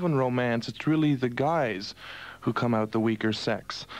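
A man at a moderate pace with ordinary pitch variation, dry sound with no echo, and faint music in the background. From Montreal, Canada. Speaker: radio host, disc jockey. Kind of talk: radio broadcast, overnight show host. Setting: radio studio, 1982 broadcast. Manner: smooth, upbeat. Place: studio.

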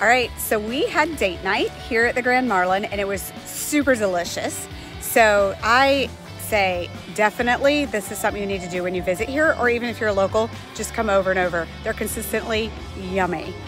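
A woman at a fairly quick pace, ordinary pitch variation, clear music behind her, and a dry sound with no echo. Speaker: travel vlogger. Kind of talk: casual vlog chat. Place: street. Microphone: phone near.

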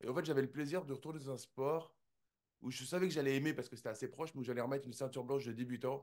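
Against a quiet background, a man speaks very fast at a fairly high pitch with fairly even intonation. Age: 40s. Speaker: jiu-jitsu champion and entrepreneur; interview guest. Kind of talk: interview. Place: home room. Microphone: studio mic.

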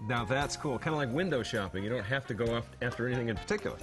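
A man's very fast speech with ordinary pitch variation and very even loudness, clear music in the background. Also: medium pitch for a man. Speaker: infomercial actor. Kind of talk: scripted infomercial dialogue. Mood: enthusiastic, upbeat. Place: kitchen.

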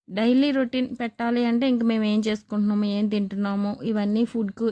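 The recording is very clean, with a silent background. A woman speaks at a medium pitch with a dark, mellow tone and monotone, flat intonation. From coastal Andhra, Narsapuram area. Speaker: homemaker vlogger and tailor. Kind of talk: casual vlog talk.

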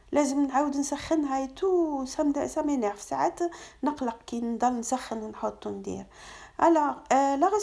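Against a quiet background, a woman with a dark, mellow tone speaks at a moderate pace with lively intonation. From Algeria. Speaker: cooking vlogger; home cooking vlogger. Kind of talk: vlog narration. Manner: casual, mixing French and Arabic. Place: kitchen. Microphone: phone near.

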